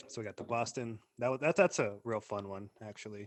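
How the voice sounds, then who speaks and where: In an American accent, a man talks with a fairly low pitch. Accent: American accent, self-noticed. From Arizona, US. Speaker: podcast co-host. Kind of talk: casual chat.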